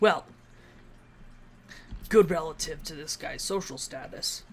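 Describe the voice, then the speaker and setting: A raspy, put-on character voice at a middle pitch and fairly slow pace comes through clear background noise. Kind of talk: let's-play commentary. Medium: machinima. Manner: casual, wry.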